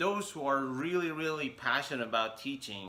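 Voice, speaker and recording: This man talks in a non-native accent. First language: not English. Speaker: English teacher. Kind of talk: vlog monologue. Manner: halting, many fillers.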